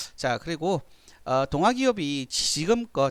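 On a very clean recording with a silent background, a man's fairly high voice swings very widely in pitch. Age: 50s. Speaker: stock market analyst. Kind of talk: tutorial. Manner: halting.

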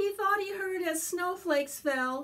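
A woman speaks slowly at an extremely high pitch, her tone fairly bright, with ordinary pitch variation and audible room echo.

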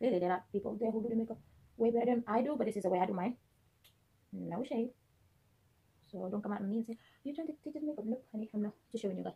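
A woman speaks at a fairly high pitch in a dark, mellow tone. Her voice is somewhat breathy. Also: ordinary pitch variation. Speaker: beauty vlogger. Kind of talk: makeup tutorial. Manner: casual, filler-heavy.

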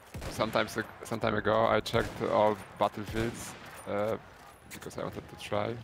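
A man's fairly low, monotone, flat voice at a moderate pace, with long, frequent pauses, big swings in loudness and noticeable background noise. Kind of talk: casual chat.

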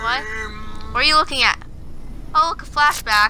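A female-sounding voice uses a put-on character voice, whiny and high-pitched. The pace is moderate, with loud background noise. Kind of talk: comic overacting. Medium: machinima. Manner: panicky, whiny, pleading.

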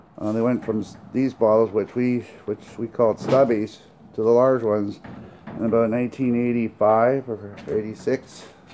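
Background noise can be clearly heard. The delivery is rather unhurried. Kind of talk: casual walkthrough commentary. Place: garage. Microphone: phone near.

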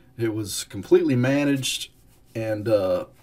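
The man's somewhat breathy voice carries lively intonation. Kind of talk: casual explanatory talk. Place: home room. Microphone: webcam.

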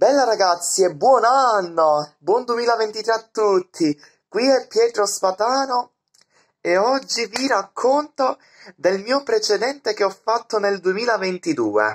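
The background is quiet while a man speaks very slowly. His pitch is high and varies in an ordinary way. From Sicily. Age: 20s. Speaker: vlogger. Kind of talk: casual vlog monologue; casual vlog chat. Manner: halting. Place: home room. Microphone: phone near.

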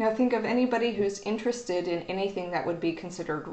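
A woman speaks with audible echo from the room. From Oklahoma. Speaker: university librarian. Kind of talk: educational video talk. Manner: casual, hesitant with fillers. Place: office. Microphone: webcam.

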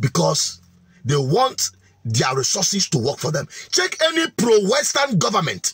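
A man's raised, projected voice swings very widely in pitch. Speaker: political commentator. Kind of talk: commentary.

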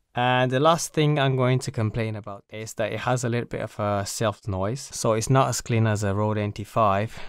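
The sound is dry, with no echo. The pace is moderate. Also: man, quiet background. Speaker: gear reviewer. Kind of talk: product review. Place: home room. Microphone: studio mic.

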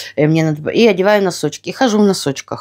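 Against a quiet background, a woman of medium pitch speaks at a fairly quick pace. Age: 50s. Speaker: lifestyle vlogger. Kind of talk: casual vlog talk. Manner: animated. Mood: relaxed, friendly. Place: home room. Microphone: phone near.

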